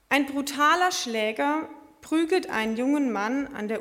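The woman talks at a very slow pace with ordinary pitch variation. Audible room echo surrounds her voice. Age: 20s. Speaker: lay preacher. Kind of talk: sermon. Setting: church service.

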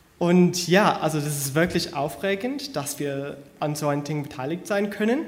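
With an English accent, a man talks at a fairly high pitch and a moderate pace with lively intonation, over noticeable background noise and audible room echo. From US, Connecticut. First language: English (speaking German). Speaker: church planter, graduate student. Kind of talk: church introduction and scripture reading. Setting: church service.

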